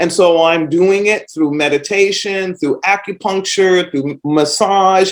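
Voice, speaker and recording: Speaking at a fairly slow pace, a woman with a plain, everyday voice has a medium pitch and an American accent. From US East Coast. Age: 60s. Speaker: podcast host. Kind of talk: casual monologue.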